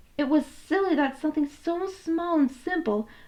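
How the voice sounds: A woman speaks at a moderate pace. Her tone is slightly mellow.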